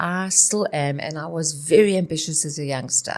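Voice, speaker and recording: With lively intonation, a woman speaks at a moderate pace in an ordinary speaking voice. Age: 60s. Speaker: dance teacher and choreographer. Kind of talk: interview.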